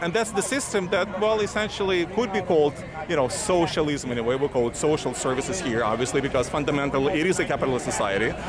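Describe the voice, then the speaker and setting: Over noticeable background noise, a man with a non-native accent speaks very fast at very even loudness, his fairly high pitch making very wide swings. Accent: foreign. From former Soviet Union. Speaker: street interviewer. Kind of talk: street interview debate. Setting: outdoors at a rally. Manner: halting.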